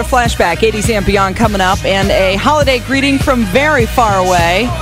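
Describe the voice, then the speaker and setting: Against clear music in the background, a woman speaks with lively intonation at a moderate pace in a dry sound with no echo. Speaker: radio DJ. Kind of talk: radio DJ air check. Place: studio. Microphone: studio mic.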